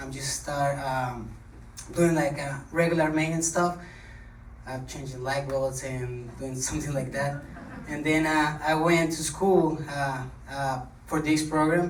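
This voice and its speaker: There is noticeable background noise and audible room echo as a man talks at a fairly slow pace. His pitch is fairly high and his intonation fairly even. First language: not English. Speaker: HVAC technician, scholarship recipient. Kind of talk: short speech. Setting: podium with audience. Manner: halting.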